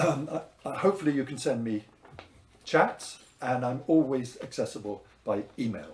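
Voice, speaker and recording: This man's voice is somewhat breathy. His intonation is lively. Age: 70s. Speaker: wine teacher. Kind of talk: promotional talk. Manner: hesitant, with fillers.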